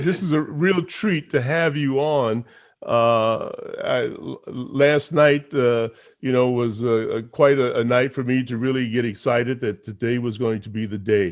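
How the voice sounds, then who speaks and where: A man speaks at a medium pitch with ordinary pitch variation against a quiet background. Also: fairly slow pace. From New York (Harlem). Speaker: radio and TV personality, talk show host. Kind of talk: interview chat show. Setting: livestreamed online show. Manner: halting, many fillers.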